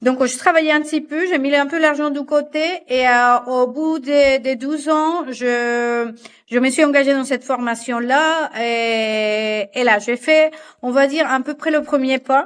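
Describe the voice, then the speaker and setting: At a very slow pace, a woman with a Spanish accent speaks at a high pitch with fairly even intonation. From Colombia, Barranquilla. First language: Spanish (speaking French). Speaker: fashion designer and patternmaker. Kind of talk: podcast interview. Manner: halting, many repetitions and fillers.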